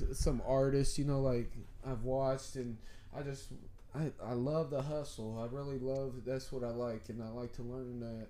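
A man with an American accent talks at a moderate pace and medium pitch, his tone dark and mellow. His intonation is monotone and flat, and the room echo is audible. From California, then Indiana from age 11. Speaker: entrepreneur, barber. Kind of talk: casual chat. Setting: studio.

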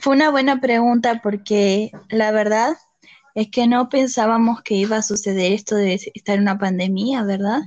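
A woman's fairly high voice at a moderate pace, with fairly even intonation and very even loudness. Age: 20s. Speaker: podcast guest, host's sister. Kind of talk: casual chat.

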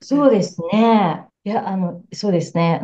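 A woman talks at a medium pitch and a fairly slow pace. Her tone is dark and mellow, and her intonation lively. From Japan. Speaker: psychotherapist. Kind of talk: casual interview. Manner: warm and gentle.

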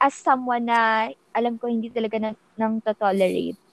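A woman's fairly high voice at a fairly slow pace. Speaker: podcast co-host. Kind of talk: casual chat. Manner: sing-song.

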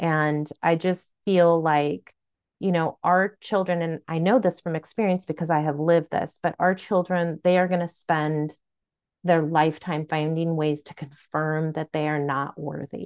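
A woman talks in a normal speaking voice at a fairly low pitch. Her pace is fairly slow. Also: fairly even intonation. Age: 50s. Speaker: podcast co-host, parent. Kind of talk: casual chat.

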